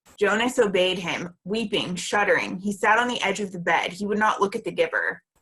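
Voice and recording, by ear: A text is read aloud in a natural voice. Its pitch rises and falls normally.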